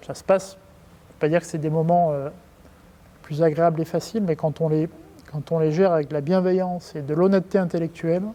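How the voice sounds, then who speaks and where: A man speaks in a high, monotone voice with flat intonation and big swings in loudness. Long pauses come often. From France. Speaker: company executive. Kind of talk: interview. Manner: hesitant, many fillers and repetitions; casual.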